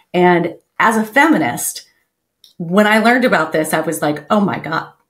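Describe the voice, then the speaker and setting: Lively intonation runs through a woman's speech at a moderate pace. The background is quiet. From Texas. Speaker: podcast host. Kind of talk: interview. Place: home room. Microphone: headset.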